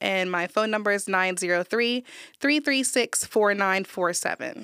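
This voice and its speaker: In a very clean recording with a silent background and a dry, close sound with no echo, a woman speaks at a medium pitch with a bright, sharp tone and ordinary pitch variation. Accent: American. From New Jersey, US. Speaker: private chef and pastry chef. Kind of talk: interview.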